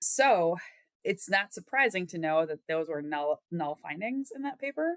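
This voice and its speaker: With a Wisconsin accent, a woman speaks at a fairly low pitch and a fairly quick pace, in a dry, close sound with no echo. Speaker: epidemiology researcher. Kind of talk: interview. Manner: conversational, some repetitions and false starts.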